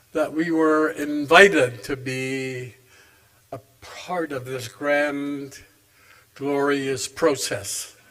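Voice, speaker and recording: This man speaks at a very slow pace in a fairly high pitch, with long, frequent pauses. His loudness swings widely, and there is noticeable background noise. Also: ordinary pitch variation. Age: 80s+. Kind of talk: keynote speech. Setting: stage with audience.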